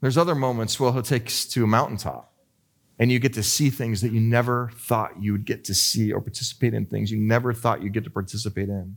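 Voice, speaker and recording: A man speaks at a medium pitch with an unremarkable speaking voice. His pace is fairly quick, and the recording is very clean with a silent background. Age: 40s. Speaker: pastor. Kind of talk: sermon.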